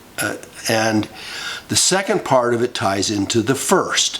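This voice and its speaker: A man speaks with an American accent at a medium pitch. Noticeable background noise is present. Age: 70s. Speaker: political commentary vlogger. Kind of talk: monologue. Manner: halting.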